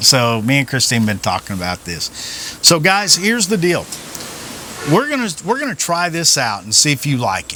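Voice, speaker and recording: Very wide pitch swings mark a man's voice at a moderate pace, with noticeable background noise. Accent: Southern US. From Oklahoma. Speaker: vlogger, retired police officer. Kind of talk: casual chat. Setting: outdoors.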